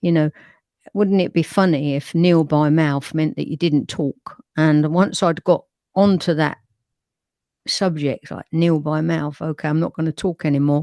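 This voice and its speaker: This woman has a very deep, low pitch and a dark, mellow tone, speaking with a London accent and fairly even intonation. The sound is dry and close with no echo, against a quiet background. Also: moderate pace. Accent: northwest London. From England, northwest London. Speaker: folk singer and spoken word poet. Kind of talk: interview.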